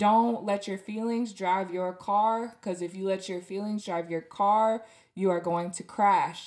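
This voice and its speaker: Speaking at a fairly slow pace, a woman with a medium-pitched voice and warm tone keeps a monotone, flat intonation. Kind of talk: pep talk with prayer. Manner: warm, earnest, encouraging; emphatic, direct address.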